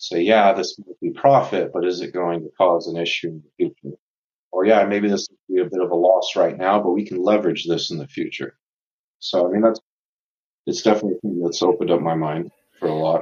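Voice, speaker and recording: A man with a General American accent, talking at a fairly quick pace. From Tucson, Arizona, US Southwest. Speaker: law graduate, former college football player. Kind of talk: interview.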